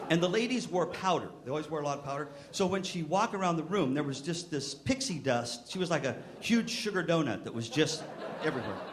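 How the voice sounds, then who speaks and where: Over noticeable background noise and audible room echo, a man at a fairly high pitch talks at a very fast pace with lively intonation. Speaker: music education clinician. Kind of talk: keynote speech. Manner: animated; halting, stops mid-sentence.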